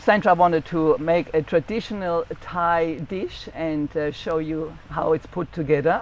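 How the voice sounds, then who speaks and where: The speaker has a German accent. The pace is fairly slow. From Germany. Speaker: cookbook author and channel host. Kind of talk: casual chat. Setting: outdoors on a beach.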